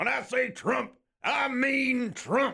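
Putting on a character voice, a man pitches it extremely high. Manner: loud, gruff.

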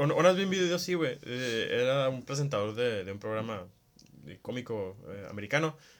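Delivered at a moderate pace, this voice has big swings in loudness and very wide pitch swings. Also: man, medium pitch for a man. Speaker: podcast co-host. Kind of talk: casual chat.

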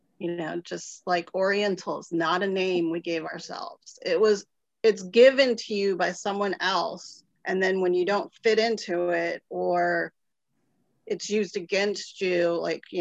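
A woman with an American accent speaks at a fairly slow pace in an ordinary speaking voice. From Ohio, US Midwest. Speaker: political consultant. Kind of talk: panel discussion.

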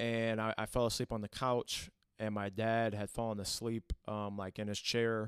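This man has a Midwestern American accent and talks at a moderate pace in a flat monotone. The recording is very clean, with a silent background. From Toledo, Ohio. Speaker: church worship team member. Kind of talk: faith-based conversation, personal testimony. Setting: at the church.

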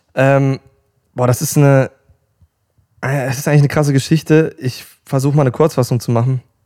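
This man has a fairly high pitch and a dark, mellow tone, speaking at a fairly quick pace in a monotone, flat delivery broken by long, frequent pauses. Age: 20s. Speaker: pop singer. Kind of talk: casual interview.

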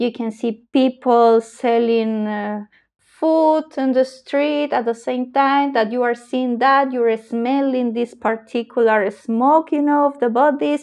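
A woman with a Spanish accent speaks very slowly in a high pitch, her intonation fairly even against a quiet background. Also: hardly any pauses. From Peru, Arequipa. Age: 30s. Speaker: lawyer and traveler. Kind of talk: casual interview.

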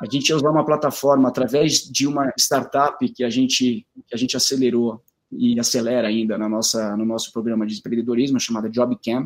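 A man in a normal speaking voice, medium in pitch, with fairly even intonation and a fairly quick pace. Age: 30s. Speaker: company executive. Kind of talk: interview, live stream talk.

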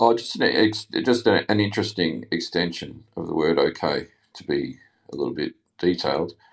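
Speaking with an Australian accent, a man lets his loudness rise and fall in big swings. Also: moderate pace. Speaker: listener calling in. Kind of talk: casual chat. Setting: online audio room.

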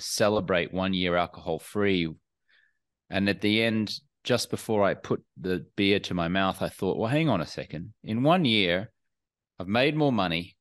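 A man with an Australian accent, fairly low in pitch, at a moderate pace against a quiet background. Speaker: entrepreneur and alcohol-free coach. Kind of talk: podcast interview.

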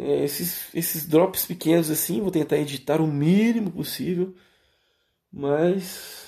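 At a very slow pace with long, frequent pauses, a man talks in a fairly high pitch with ordinary variation and a dark, mellow tone. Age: 20s. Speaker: podcaster. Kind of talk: solo monologue. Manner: hesitant, many fillers.

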